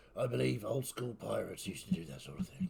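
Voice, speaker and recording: In a raspy, put-on character voice, a man speaks at a very fast pace over clear background noise. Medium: actual play. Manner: formal, polite, addresses the captain with deference.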